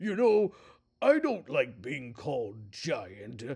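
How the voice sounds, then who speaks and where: A raspy, put-on character voice. The pace is very slow. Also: man, fairly high pitch for a man. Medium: read story.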